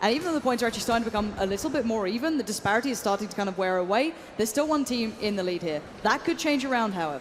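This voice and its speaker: Very fast speech from a woman with a fairly high pitch and an English accent, over noticeable background noise. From England. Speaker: esports commentator. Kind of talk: live commentary. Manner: animated.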